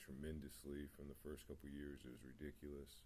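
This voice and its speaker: Fairly quick, somewhat breathy speech in a monotone, flat intonation, with audible room echo. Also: man. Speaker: spiritual vlogger. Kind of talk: personal testimony. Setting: home meditation spot. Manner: mumbling; hesitant, many fillers.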